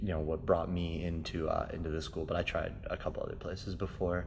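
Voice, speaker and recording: Talking at a very fast pace with ordinary pitch variation and vocal fry, the voice carries audible room echo. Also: man. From New York (South Bronx), moved to Minnesota at ten. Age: 20s. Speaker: martial arts instructor. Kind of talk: interview. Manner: hesitant with many fillers.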